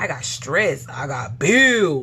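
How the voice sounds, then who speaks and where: A woman talks with audible room echo and noticeable background noise around her voice. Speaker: vlogger sharing detox journey. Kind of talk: casual personal testimony. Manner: stuttering, halting.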